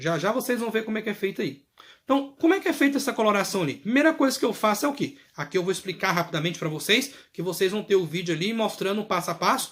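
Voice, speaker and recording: Speaking very fast, a man sounds animated. His pitch is high, and his intonation is lively. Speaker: clinical lab technology teacher. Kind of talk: video lecture. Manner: casual, animated.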